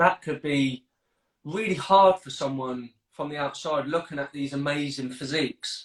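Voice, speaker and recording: In a southern English accent, a man with a fairly high pitch talks at a moderate pace with ordinary pitch variation. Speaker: fitness coach, podcast host. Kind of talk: casual panel chat.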